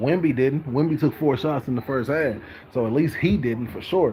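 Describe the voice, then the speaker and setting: Talking rather quickly, a man can be heard through noticeable background noise. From Texas. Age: 30s. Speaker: sports vlogger. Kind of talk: casual sports commentary monologue. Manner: casual, filler-heavy with repetitions.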